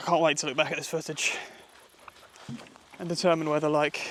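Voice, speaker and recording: Quiet speech in a British accent comes at a fairly quick pace with monotone, flat intonation over noticeable background noise. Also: man. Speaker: wild camping vlogger. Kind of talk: outdoor vlog monologue. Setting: outdoors in woodland. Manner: quieter, hushed.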